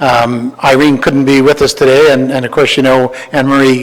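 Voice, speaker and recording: With a Canadian accent, a man speaks at a fairly quick pace over noticeable background noise. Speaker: historical society volunteer presenting a project. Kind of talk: presentation to county council. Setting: council meeting chamber. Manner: fast; halting, many repeated words and fillers.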